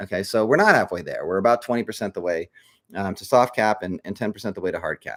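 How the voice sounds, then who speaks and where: A man with a fairly low pitch speaks very fast with big swings in loudness, on a very clean recording with a silent background and a dry, close sound with no echo. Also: ordinary pitch variation. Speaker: crypto project leader. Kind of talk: live stream update. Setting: live stream. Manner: hesitant fillers.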